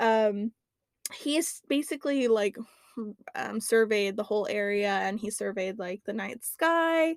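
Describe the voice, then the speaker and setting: The speaker's intonation is lively, and the pace is fairly slow. The sound is dry and close, without echo. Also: woman, fairly high pitch for a woman. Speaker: podcast host. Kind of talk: casual chat presenting research. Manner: halting, stumbling over words.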